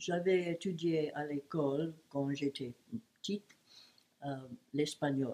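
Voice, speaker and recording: Her pitch is very deep and low for a woman. She speaks at a very slow pace. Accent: English. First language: English (speaking French). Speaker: great-aunt interviewed for school project. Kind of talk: personal life story. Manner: halting.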